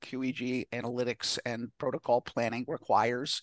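In a normal speaking voice, a man with an American accent talks at medium pitch and a fairly slow pace, the sound dry and close with no echo. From New York. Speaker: neurofeedback clinic founder. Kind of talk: casual chat.

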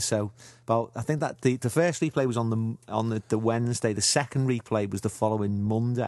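With a Liverpool accent, the speaker talks at a fairly quick pace with ordinary pitch variation over a quiet background. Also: man. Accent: Liverpool (Scouse). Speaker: football fan contributor. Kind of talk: personal anecdote.

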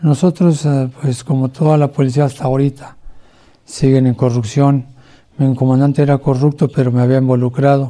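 A man speaks at a moderate pace and medium pitch, with a dark, mellow tone. His intonation is monotone and flat, and his loudness stays very even. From Mexico City. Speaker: former police officer and ex-convict. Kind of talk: testimony. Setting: at home under house arrest.

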